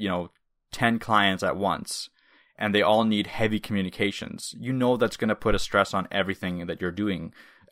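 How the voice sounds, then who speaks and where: Here is an unremarkable speaking voice: a man with a Canadian accent, fairly low in pitch, with ordinary pitch variation. He talks at a fairly quick pace on a very clean recording with a silent background. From Canada, moved from Russia at age five. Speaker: web developer podcast co-host. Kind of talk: casual chat.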